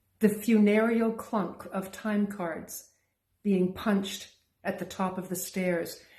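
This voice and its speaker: A woman's somewhat breathy voice, dark and mellow in tone, medium in pitch, monotone and flat, at a very slow pace. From Canada. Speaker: poet. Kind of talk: poetry reading.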